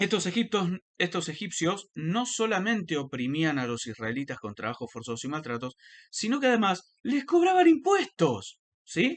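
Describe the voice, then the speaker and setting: Against a quiet background, a man with a high pitch speaks at a fairly slow pace, his voice making very wide pitch swings. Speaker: religious commentator. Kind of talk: lecture. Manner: halting.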